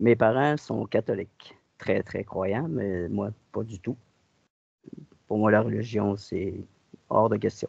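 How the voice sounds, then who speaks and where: A man's fairly low voice with vocal fry, at a very slow pace with long, frequent pauses and ordinary pitch variation, in a dry, close sound with no echo. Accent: Quebec. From Quebec. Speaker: hypnosis client. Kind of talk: personal account. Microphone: connection dropouts.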